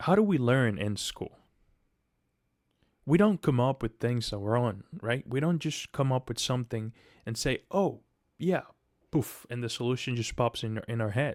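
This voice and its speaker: With a non-native accent and a medium pitch, a man speaks with lively intonation and long, frequent pauses, the sound dry and close with no echo. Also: moderate pace, very clean recording, silent background. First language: not English. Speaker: aspiring software developer, coding vlogger. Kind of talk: casual pep talk to camera. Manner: halting, many restarts and fillers.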